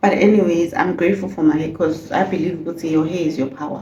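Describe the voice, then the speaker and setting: A woman speaks over noticeable background noise. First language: not English. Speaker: beauty vlogger. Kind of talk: casual vlog chat.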